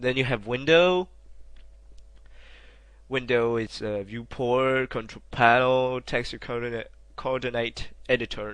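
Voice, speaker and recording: A man with a non-native accent and a medium pitch speaks at a fairly slow pace with long, frequent pauses. His intonation is fairly even, and the background is quiet. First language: not English. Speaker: game modder. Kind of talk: software tutorial narration. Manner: hesitant, casual.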